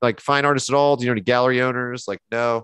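Against a quiet background, a man speaks very fast at a medium pitch, the sound dry with no echo. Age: 40s. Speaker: painter and art instructor; artist instructor. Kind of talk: casual chat during live painting demo. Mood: animated, slightly indignant. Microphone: headset.

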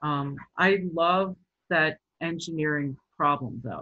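This woman has a fairly low pitch. Her pitch varies in an ordinary way. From Baltimore, Maryland. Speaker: sculptor and installation artist. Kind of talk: artist talk presentation. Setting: video call. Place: home room. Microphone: webcam.

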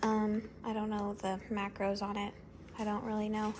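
A woman talks at a moderate speed while noticeable noise sits in the background. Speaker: vlogger. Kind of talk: casual vlog chat. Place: kitchen. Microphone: phone near.

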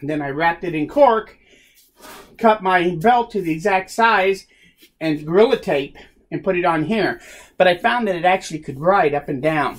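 A man with a high pitch speaks at a moderate pace, leaving long, frequent pauses. His pitch shows ordinary variation. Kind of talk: tutorial. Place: workshop. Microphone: phone near.

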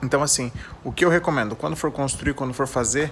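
A man's fairly high voice in a Brazilian accent, fairly quick and fairly even in intonation, over light background noise. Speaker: trike channel host. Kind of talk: tutorial. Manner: casual, informal. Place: garage. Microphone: phone near.

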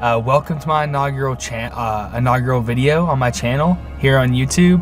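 A man with an American accent speaks at a fairly quick pace with ordinary pitch variation. Faint music plays in the background. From Middle Tennessee, USA. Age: 20s. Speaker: vlogger. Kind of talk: casual talk to camera. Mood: friendly, a bit nervous. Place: car. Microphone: phone near.

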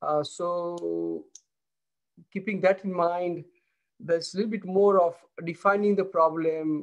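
A man at a moderate pace with a high pitch and fairly even intonation, over a quiet background. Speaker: professor giving keynote. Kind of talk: lecture. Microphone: video call.

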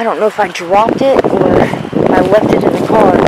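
Loud background noise on a dry sound with no echo. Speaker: urban explorer vlogger. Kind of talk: casual vlog chat. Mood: nervous, excited. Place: open country. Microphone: phone near.

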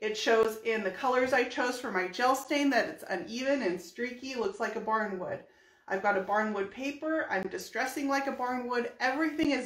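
Moderate speed and ordinary pitch movement from a woman, with background noise clearly audible. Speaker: furniture painter and brand ambassador. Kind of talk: live painting tutorial. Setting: livestream video. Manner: chatty.

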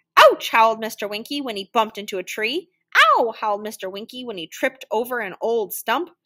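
Quiet surroundings, a natural reading voice, and ordinary pitch variation.

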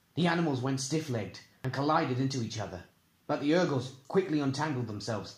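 Someone reads aloud plainly, with normal variation in pitch.

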